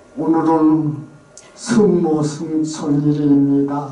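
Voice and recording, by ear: Using a put-on character voice, a man speaks at a very slow pace and a fairly high pitch, with a slight echo.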